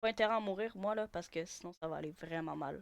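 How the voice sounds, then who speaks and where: The sound is dry and close, with no echo. A woman with a medium pitch talks at a fairly quick pace in an animated tone, with ordinary pitch variation. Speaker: gaming youtuber. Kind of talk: gameplay commentary. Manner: louder; casual, animated.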